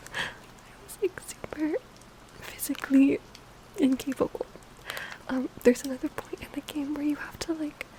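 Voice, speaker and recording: Someone whispers at a moderate pace with long, frequent pauses. Noticeable background noise runs underneath. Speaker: ASMR creator. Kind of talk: ASMR rambling to sleep. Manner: whispered, soft-spoken.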